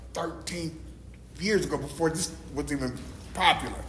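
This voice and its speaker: Over noticeable background noise and audible room echo, a man talks in an animated tone. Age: 60s. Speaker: recovery meeting speaker, peer support specialist. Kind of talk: testimony.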